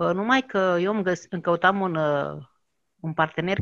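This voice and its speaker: The background stays quiet. Sound is dry and close, without any echo. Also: woman. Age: 50s. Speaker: network marketing coach. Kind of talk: interview testimony. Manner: halting.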